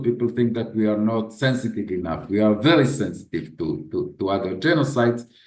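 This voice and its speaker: A man speaks at a fairly quick pace and a medium pitch with lively intonation. Room echo is audible. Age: 60s. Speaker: head of a memorial institution. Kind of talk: interview. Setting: video call. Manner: halting, with frequent repetitions.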